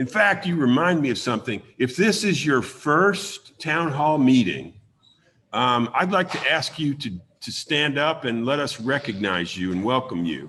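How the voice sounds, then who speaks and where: On a very clean recording with a silent background, the voice has a bright, sharp tone and very wide pitch swings. It moves at a fairly slow pace. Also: man, fairly high pitch for a man. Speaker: community town hall host. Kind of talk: town hall meeting address. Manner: hesitant, many fillers.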